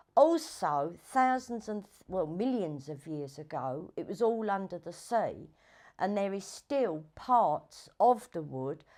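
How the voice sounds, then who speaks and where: In a London accent, a woman speaks at a very slow pace with very wide pitch swings. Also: quiet background. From southeast London. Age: 60s. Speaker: documentary subject. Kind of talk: documentary interview. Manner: halting. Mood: reflective, storytelling. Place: home room. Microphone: lapel.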